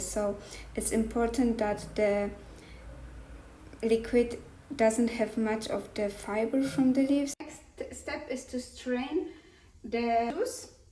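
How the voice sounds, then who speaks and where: A woman with a non-native accent at a very slow pace, dark and mellow in tone yet fairly high in pitch, with fairly even intonation and audible room echo. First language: not English. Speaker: cooking vlogger. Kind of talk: cooking tutorial. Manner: halting.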